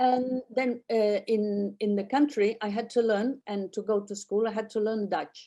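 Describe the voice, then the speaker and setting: With a Catalan accent, a woman speaks fairly slowly and with hardly any pauses, her fairly high, dark and mellow voice keeping a fairly even intonation. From Catalonia, Spain (childhood partly in Netherlands). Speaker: artist and painting holiday organizer. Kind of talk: interview conversation. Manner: halting, with frequent repetitions.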